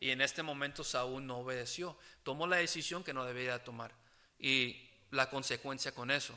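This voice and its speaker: A man speaks at a moderate pace in a medium pitch, his bright, sharp tone carried on fairly even intonation in a very clean recording with a silent background. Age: 20s. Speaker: preacher. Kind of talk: sermon preaching to a congregation, earnest and conversational. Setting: church; church service with congregation. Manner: earnest, halting, with frequent fillers and restarts; plain-spoken, gently exhorting.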